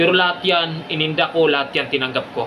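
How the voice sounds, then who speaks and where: A man talks at a very fast pace in a high voice. Background noise is noticeable. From Philippines, province. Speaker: security guard vlogger. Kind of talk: casual advice vlog.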